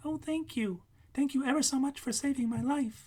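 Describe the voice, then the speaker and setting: This is a put-on character voice, squeaky and high in pitch. It moves at a moderate pace. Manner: grateful, earnest.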